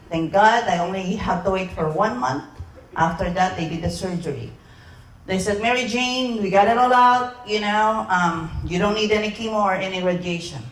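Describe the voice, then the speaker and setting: Audible room echo surrounds a woman speaking at a medium pitch and moderate pace with ordinary pitch variation. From Philippines. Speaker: sales presenter. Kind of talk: sales pitch.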